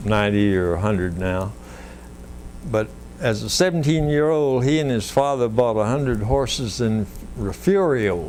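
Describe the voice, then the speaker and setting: Speaking at a moderate pace with a Central Texas accent, a man uses lively intonation at a medium pitch. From Wimberley, Texas. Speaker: local historian. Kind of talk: oral history interview answer.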